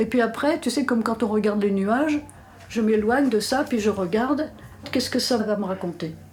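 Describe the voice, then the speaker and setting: A woman with a fairly high voice talks at a fairly quick pace, with ordinary pitch variation. Noticeable background noise sits behind her. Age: 80s+. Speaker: artist who draws. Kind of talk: interview answer.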